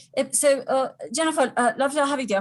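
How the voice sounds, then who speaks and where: A woman is speaking. Her pace is very fast. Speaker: psychic medium doing aura readings. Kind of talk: live stream reading. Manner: halting, many fillers.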